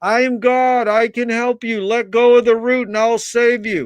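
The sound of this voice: In a put-on character voice, the speaker talks at a moderate pace with monotone, flat intonation. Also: man, extremely high pitch for a man.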